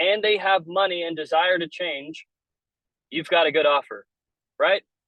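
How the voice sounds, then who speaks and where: A man speaks loudly in a high voice. He keeps a moderate pace. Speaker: business coach. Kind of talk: webinar training. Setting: in a car. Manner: casual.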